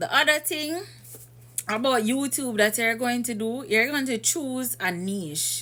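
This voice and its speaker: A woman speaks at a fairly slow pace in a fairly high pitch. Her tone is bright and sharp, and her intonation is lively. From Jamaica. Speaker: YouTuber giving channel advice. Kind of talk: tutorial. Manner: casual, conversational.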